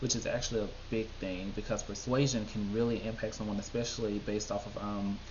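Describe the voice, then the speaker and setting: Amid audible room echo, a man talks very fast at a fairly low pitch. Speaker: YouTube TV show reviewer. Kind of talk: casual video commentary. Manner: animated.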